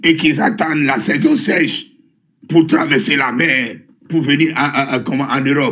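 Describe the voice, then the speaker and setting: A man talks at a moderate pace in a bright, sharp tone. His fairly high voice shows ordinary pitch variation. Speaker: participant in live online discussion. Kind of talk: heated debate. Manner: animated.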